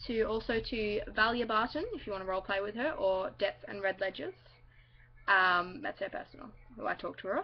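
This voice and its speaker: In an Australian accent, a woman speaks at a fairly quick pace and a fairly high pitch, with lively intonation. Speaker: vlogger. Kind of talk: casual vlog talk to camera. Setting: at home, outside her bedroom. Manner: rambling, halting with many fillers.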